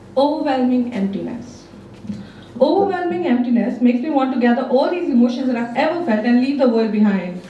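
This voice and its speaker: A woman's high-pitched, lively voice at a fairly quick pace, amid noticeable background noise. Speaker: spoken word poet. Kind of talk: spoken word poetry performance. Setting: live open mic.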